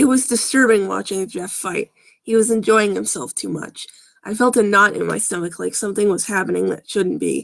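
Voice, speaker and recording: Raspy and fairly quick, the put-on character voice rattles along. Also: woman, medium pitch for a woman. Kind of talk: live-stream story reading with sarcastic commentary. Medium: read story. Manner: casual, wry, frequently interrupting himself.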